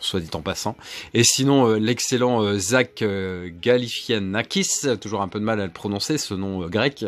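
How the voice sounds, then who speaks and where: The pace is fairly slow. A man delivers it at a medium pitch. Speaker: film collector youtuber. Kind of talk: casual haul video presentation. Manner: hesitant, many filler sounds.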